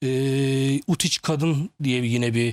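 Medium-pitched male speech with ordinary pitch variation, recorded very cleanly against a silent background. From Turkey, Samsun. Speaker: management consultant. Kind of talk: TV interview. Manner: hesitant, many filler sounds.

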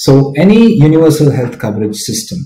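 Over light background noise and audible room echo, a man talks at a moderate pace in a dark, mellow, somewhat breathy tone. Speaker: conference presenter. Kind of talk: lecture. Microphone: webcam.

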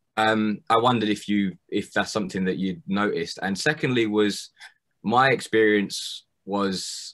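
Faint music plays behind a man speaking. He has a fairly low pitch and keeps a moderate pace. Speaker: audience member. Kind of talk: Q&A discussion. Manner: halting. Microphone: video call.

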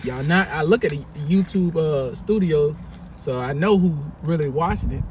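Over noticeable background noise, a man talks with lively intonation in a dry sound with no echo. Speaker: vlogger. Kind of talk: casual vlog chat. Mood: playful, teasing. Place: car. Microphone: phone near.

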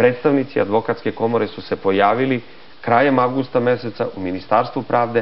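Speaking very fast, the man shows ordinary variation in his pitch. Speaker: interview guest. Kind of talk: interview answer. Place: studio. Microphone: lapel.

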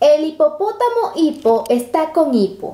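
Against noticeable background noise, a woman's high-pitched voice swings very widely in pitch. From Latin America. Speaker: travel vlogger. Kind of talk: reading aloud.

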